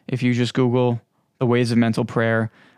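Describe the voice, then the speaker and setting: Spoken with a New York accent, the recording is very clean with a silent background and a dry, close sound with no echo. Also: man. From Long Island, New York. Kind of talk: religious teaching monologue. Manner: halting, many fillers.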